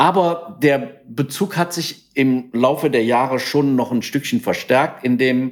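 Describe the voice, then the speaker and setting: A man in a normal speaking voice, medium in pitch, at a fairly slow pace, on a very clean recording with a silent background. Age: 60s. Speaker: entrepreneur, company founder. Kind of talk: interview.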